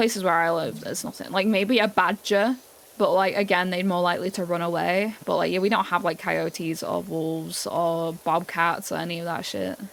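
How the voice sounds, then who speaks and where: Her fairly low voice carries vocal fry and fairly even intonation as the woman speaks with a British accent. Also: moderate pace. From England. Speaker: streamer. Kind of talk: casual chat.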